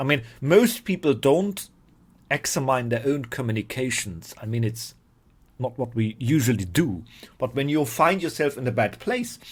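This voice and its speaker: In a very clean recording with a silent background, a man with a medium pitch and a somewhat breathy voice talks at a moderate pace with lively intonation. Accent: non-native. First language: not English. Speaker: spiritual teacher. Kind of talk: informal talk to camera. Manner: halting, repeats words.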